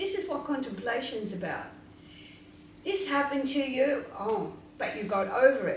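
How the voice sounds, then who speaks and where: With lively intonation and a high pitch, a woman speaks at a moderate pace over noticeable background noise and audible room echo. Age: 80s+. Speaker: spiritual teacher. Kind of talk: question and answer interview.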